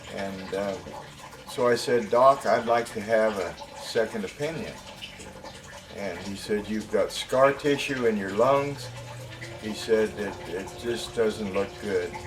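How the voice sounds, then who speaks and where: A man speaks very slowly, leaving long, frequent pauses over noticeable background noise. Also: medium pitch for a man, ordinary pitch variation. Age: 70s. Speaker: patient giving testimonial. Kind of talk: testimony. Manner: halting, many fillers.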